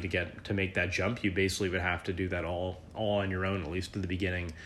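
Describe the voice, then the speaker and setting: Against audible room echo, a man with a very deep, low pitch speaks with fairly even intonation. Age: 30s. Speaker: squash coach and podcast host. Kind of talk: solo podcast monologue. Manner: halting, many fillers.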